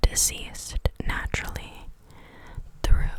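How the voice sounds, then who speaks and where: This woman whispers at a fairly slow pace while noticeable background noise carries on around her. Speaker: ASMR creator. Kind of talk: reading facts aloud from an article. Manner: whispered.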